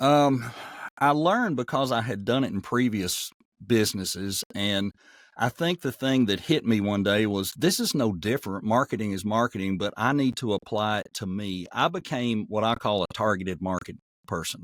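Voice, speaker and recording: With a Southern accent, a man talks at a moderate pace in a fairly low voice with ordinary pitch variation, heard as a dry, close sound with no echo on a very clean recording with a silent background. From US South, Nashville. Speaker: voice actor. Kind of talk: interview.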